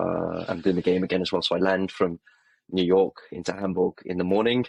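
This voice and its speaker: A man with an English accent speaks at a fairly quick pace in a very deep, low pitch. His intonation is monotone and flat, and the sound is dry and close with no echo. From England. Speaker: football podcast co-host. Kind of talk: casual chat. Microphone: poor mic, bad audio.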